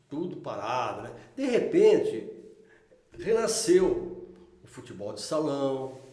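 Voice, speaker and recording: A man speaks at a very slow pace with long, frequent pauses and big swings in loudness, with audible room echo. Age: 60s. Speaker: local resident interviewee. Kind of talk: casual interview.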